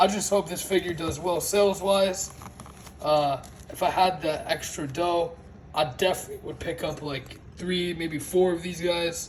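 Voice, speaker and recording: Against noticeable background noise, the speaker keeps a moderate pace and fairly even intonation. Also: man, high pitch for a man. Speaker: toy reviewer. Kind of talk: casual unboxing talk to camera. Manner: stutters and slurs words.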